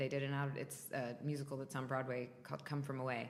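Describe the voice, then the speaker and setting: In an American accent, a woman with a very deep, low pitch talks at a fairly quick pace amid noticeable background noise and audible room echo. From US South, North Florida. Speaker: stage and TV actor. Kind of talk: interview. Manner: loud.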